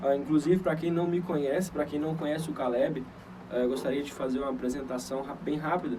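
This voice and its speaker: A man's fairly high voice at a fairly quick pace, fairly even in intonation, with audible room echo and noticeable background noise. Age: 20s. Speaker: church leader, preacher. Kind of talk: sermon on a livestream. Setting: livestream. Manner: hesitant, many fillers and repetitions.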